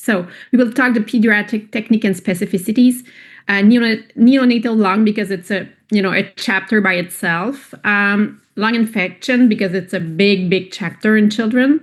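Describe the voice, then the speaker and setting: Against a quiet background, a woman with a non-native accent speaks at a moderate pace, with a fairly high pitch and fairly even intonation. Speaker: pediatric radiologist. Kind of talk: lecture.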